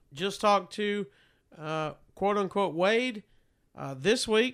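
A man with a Southern US accent speaks in an animated tone at a high pitch, on a very clean recording with a silent background. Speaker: radio host and podcaster. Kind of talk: casual chat. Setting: home studio.

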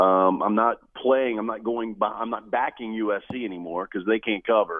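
Fairly low in pitch with fairly even intonation, a man talks in an unremarkable speaking voice. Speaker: sports radio host. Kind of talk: casual sports talk.

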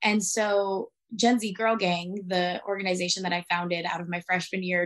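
At a moderate pace, a woman with an American accent speaks at a medium pitch with ordinary pitch variation in a plain, everyday voice. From Arizona, US. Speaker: activist. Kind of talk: interview.

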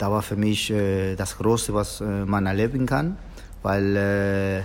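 A man speaks in a fairly low, monotone, flat voice. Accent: Spanish. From Argentina. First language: Spanish (speaking German). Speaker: football coach, former professional footballer. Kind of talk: interview. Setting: hotel, in person. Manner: halting, many filler sounds.

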